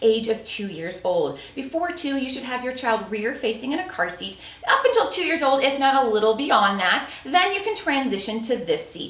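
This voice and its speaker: Moving at a moderate pace with hardly any pauses, a woman speaks at a high pitch amid audible room echo. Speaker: product reviewer. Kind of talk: product review presentation. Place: home room.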